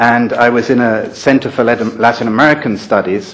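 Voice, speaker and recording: Audible room echo surrounds a man with a London accent speaking at a medium pitch. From England, London. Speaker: former UN human rights official, conference speaker. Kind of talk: conference talk. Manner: halting, many fillers and repetitions.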